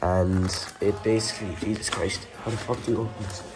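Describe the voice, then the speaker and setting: Over noticeable background noise, the speaker uses an Irish accent at a moderate pace. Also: man. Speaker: WW2 re-enactor and collector. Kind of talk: casual talk to camera.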